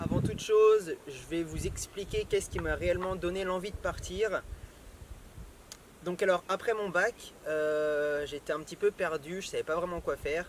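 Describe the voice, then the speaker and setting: Amid noticeable background noise, a man with a high pitch talks fairly slowly with fairly even intonation. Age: 20s. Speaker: travel vlogger. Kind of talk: casual talk to camera.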